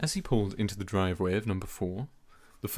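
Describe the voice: Intonation rises and falls in a lively way. It's plain reading aloud.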